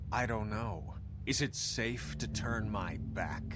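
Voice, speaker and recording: Through loud background noise, a man puts on a character voice and speaks at a fairly slow pace. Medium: game stream. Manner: curt, grumbling.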